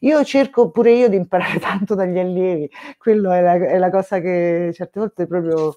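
Over a quiet background, a woman's dark, mellow voice sits at a medium pitch, moving at a moderate pace with ordinary pitch variation. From Rome; Italy. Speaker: music education association president. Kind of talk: casual chat. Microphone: video call.

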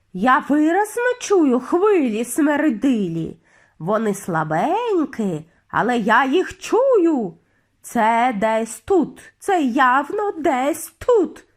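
A woman puts on a shrill character voice, high in pitch with very wide swings. She speaks at a very slow pace. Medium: read story. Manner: shrill, insistent.

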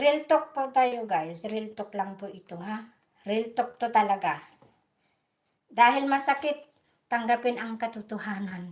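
A woman speaks at a fairly slow pace with a fairly high pitch and ordinary pitch variation. Her loudness swings widely. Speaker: vlogger. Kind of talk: angry rant, sarcastic scolding of rally protesters, live-stream style. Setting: live stream, from Europe. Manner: sarcastic, combative and emphatic, blunt and defiant; repetitive, with "no?" and "guys" tags.

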